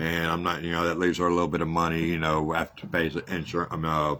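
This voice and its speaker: At a fairly quick pace, a man talks with a very deep, low pitch in a very clean recording with a silent background. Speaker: podcast host running a housing ministry. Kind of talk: casual monologue. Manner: halting.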